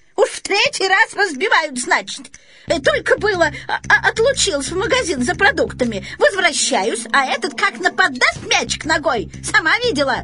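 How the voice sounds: A woman uses a put-on character voice at an extremely high pitch, with big pitch swings and a bright, sharp tone. She speaks at a moderate pace with few pauses.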